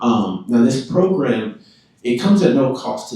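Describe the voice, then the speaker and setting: Speaking at a moderate pace in a room with audible echo, a man talks with a Southern accent. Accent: Southern, less twang than Louisiana. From Tennessee, Chattanooga. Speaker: insurance program sales representative. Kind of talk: public presentation to city council. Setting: council chamber. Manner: hesitant, many fillers and repetitions.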